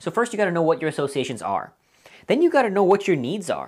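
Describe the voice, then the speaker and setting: A woman's fairly low voice on a very clean recording against a silent background. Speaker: motivational speaker. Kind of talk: lecture. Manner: fast.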